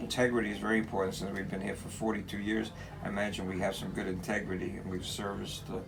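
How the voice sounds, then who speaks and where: A man with an American accent talks very fast at a fairly low pitch in a flat monotone. Room echo is audible and background noise is noticeable. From New York City, Brooklyn. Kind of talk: interview. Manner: halting, many repetitions.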